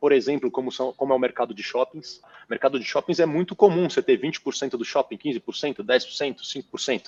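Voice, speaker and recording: Speaking at a very fast pace, a man shows big swings in loudness. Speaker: real estate fund manager. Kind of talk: interview. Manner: animated.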